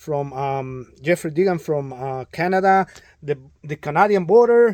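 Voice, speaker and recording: Speaking with a Spanish accent, a man talks at a fairly slow pace in a high pitch with lively intonation, recorded with a dry, close sound and no echo. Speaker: drywall contractor. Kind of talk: tutorial; casual chat. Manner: halting, many fillers.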